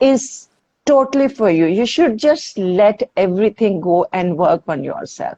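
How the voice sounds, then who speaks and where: With a dark, mellow tone, a woman speaks at a fairly slow pace, her pitch swinging very widely in a dry, close sound with no echo. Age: 60s. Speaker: fitness instructor. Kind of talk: interview. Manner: halting.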